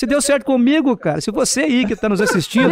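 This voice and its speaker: A man speaks in an extremely high pitch. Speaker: oratory instructor. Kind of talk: podcast interview. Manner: firm, open-mouthed delivery.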